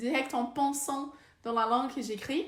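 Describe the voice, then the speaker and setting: A woman with a Brazilian accent speaks slowly-ish at a high pitch, her intonation fairly even, with audible echo in the room. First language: Portuguese (speaking French). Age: 20s. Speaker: vlogger and researcher. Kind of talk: casual vlog talk. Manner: halting, many hesitations.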